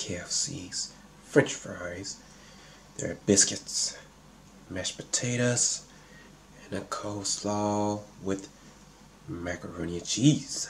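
Over light background noise, a man with a fairly low pitch speaks at a very slow pace, broken by long, frequent pauses. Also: ordinary pitch variation. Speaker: mukbang vlogger. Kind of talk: casual vlog chat. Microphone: phone near.

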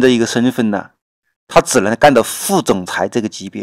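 Recorded very cleanly with a silent background and a dry, close sound free of echo, a man talks at a moderate pace and medium pitch with ordinary pitch variation. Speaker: political commentary vlogger. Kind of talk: solo political commentary. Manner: halting, many fillers.

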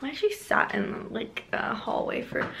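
A woman speaks with vocal fry amid audible room echo. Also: fairly bright tone.

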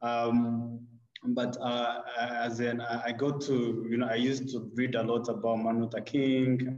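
A man speaks at medium pitch with monotone, flat intonation, and audible room echo surrounds his voice. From Rwanda. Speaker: HBCU alumnus. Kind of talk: panel discussion. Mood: friendly, smiling. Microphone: video call.

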